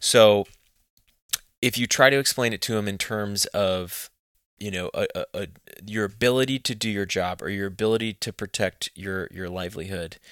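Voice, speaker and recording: Fairly low-pitched male voice with a Texan accent, fairly even intonation and a moderate pace, in a very clean recording with a silent background. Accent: Texan American. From Texas. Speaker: hunting magazine co-founder. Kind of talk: interview. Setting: office.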